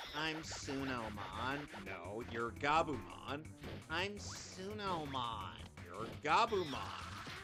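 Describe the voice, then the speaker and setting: A put-on character voice at low-to-middle pitch moves at a very slow pace over clear music in the background. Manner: silly, repeating, bickering.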